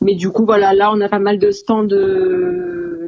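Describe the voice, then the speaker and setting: A woman at medium pitch, very slow in pace, with fairly even intonation and noticeable background noise. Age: 20s. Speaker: bodybuilding competitor. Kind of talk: interview. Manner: hesitant, many fillers.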